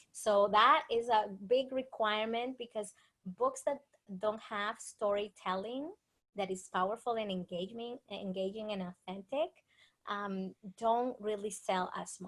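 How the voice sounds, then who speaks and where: Speaking with a Dominican accent, a woman uses a fairly high pitch, ordinary pitch variation and a moderate pace. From Dominican Republic. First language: Spanish. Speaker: author and speaker. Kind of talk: interview.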